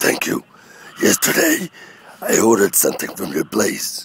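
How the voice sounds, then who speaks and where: The man speaks at a moderate pace. His put-on character voice is raspy. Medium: solo performance. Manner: broken, halting English.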